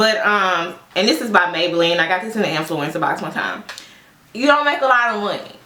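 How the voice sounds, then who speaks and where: A woman's fairly quick, animated speech with audible room echo and noticeable background noise. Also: medium pitch for a woman, lively intonation. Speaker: social worker and beauty vlogger. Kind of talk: casual get-ready-with-me chat. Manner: loud.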